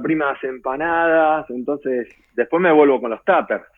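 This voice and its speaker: His voice sits at a fairly high pitch for a man, and he keeps a moderate pace. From Garín, Escobar, northern Buenos Aires, Argentina. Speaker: expatriate interviewee. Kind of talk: casual interview. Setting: video call. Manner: hesitant, many fillers.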